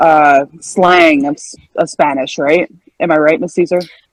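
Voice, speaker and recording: The recording is dry and close with no echo as a woman speaks at a fairly slow pace in a fairly low pitch. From Western Canada. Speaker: gaming community member. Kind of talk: casual group chat.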